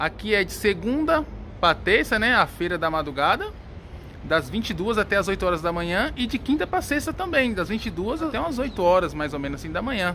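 A raised, projected voice, animated and upbeat, with very wide pitch swings and light background noise. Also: man, high pitch for a man. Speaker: plant seller and vlogger. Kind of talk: casual vlog chat. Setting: outdoors at a busy flower market, walking with camera. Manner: animated, fast, upbeat, sales-patter. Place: market. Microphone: phone near.

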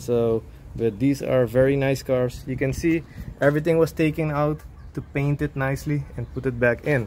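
A man with a medium pitch speaks in a slightly mellow tone. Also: fairly even intonation, moderate pace.

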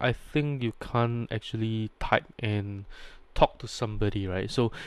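Fairly low in pitch, a man speaks at a fairly slow pace with a clear, smooth tone. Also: ordinary pitch variation.

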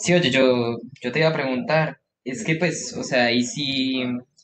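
With a Colombian accent and ordinary pitch variation, a man speaks over light background noise. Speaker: new university student. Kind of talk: self-introduction. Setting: video call. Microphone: video call.

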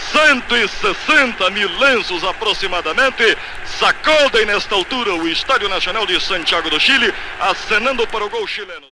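A man's high voice at a moderate pace, lively in intonation, dry with no echo, over noticeable background noise. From Brazil. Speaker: radio sports commentator. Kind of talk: live radio football match commentary. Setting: vintage 1962 radio broadcast recording. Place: stadium. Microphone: old recording.

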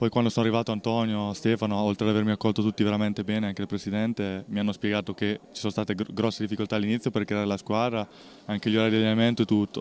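A man at a fairly low pitch, very fast pace and monotone, flat intonation, with a dry sound and no echo. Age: 20s. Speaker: basketball player. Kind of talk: post-game interview. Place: hall. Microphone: handheld.

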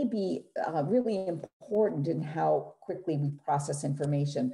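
Somewhat breathy, a woman's dark, mellow voice moves through very wide pitch swings. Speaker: neuropsychologist presenter. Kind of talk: clinical, explanatory.

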